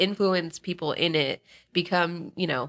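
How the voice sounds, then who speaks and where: With an American accent, the voice has a bright, sharp tone on a very clean recording with a silent background. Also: woman. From Northern Virginia. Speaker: social media manager. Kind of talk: casual chat.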